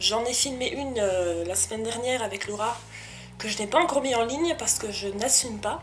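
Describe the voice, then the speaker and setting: Amid noticeable background noise and audible room echo, a woman speaks at a moderate pace in a high voice with lively intonation. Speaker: vlogger. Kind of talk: casual vlog talk to camera. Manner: halting, hesitant.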